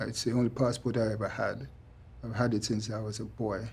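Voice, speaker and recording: A man's voice with vocal fry at a moderate pace. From England, East London. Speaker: deportee. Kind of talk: documentary interview.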